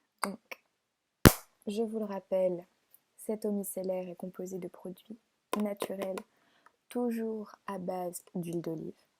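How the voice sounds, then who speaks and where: Soft-spoken and at a medium pitch, a woman talks at a very slow pace in a monotone, flat way with long, frequent pauses, and the sound is dry and close with no echo. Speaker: beautician roleplay. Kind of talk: ASMR roleplay. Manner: soft-spoken, gentle.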